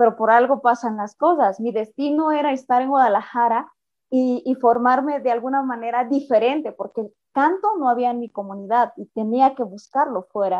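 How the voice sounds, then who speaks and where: Against a quiet background, a woman talks in a high voice at a moderate pace with ordinary pitch variation. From Mexico, Sierra Norte of Oaxaca. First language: Mixe (speaking Spanish). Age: 30s. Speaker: opera singer. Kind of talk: interview.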